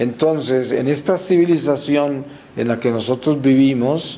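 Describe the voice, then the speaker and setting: Very slow speech from a man amid noticeable background noise and audible room echo. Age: 60s. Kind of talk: religious talk. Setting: church, before the altar. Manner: frequent hesitations and fillers.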